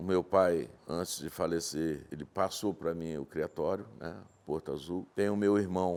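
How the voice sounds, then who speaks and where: Speaking fairly slowly, a man keeps his very deep, low voice at a fairly even intonation. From Brazil, Minas Gerais (Vale do Rio Doce), raised in Espírito Santo from childhood. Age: 60s. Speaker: horse breeder and rancher. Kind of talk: interview.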